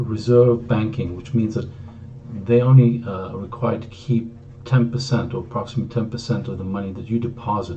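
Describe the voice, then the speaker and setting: Delivery comes at a fairly quick pace with fairly even intonation but big swings in loudness. Room echo is audible. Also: man, medium pitch for a man. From Greece. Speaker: author. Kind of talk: book introduction talk. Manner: hesitant, frequent fillers.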